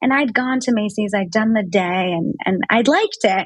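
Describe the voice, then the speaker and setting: The voice is somewhat breathy and keeps a moderate pace. Pitch variation is ordinary. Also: woman. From New York City. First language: French. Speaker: brand founder. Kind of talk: interview. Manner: casual, many fillers.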